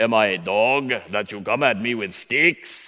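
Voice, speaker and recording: A put-on character voice from a man, medium in pitch and moderate in pace. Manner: scornful, booming.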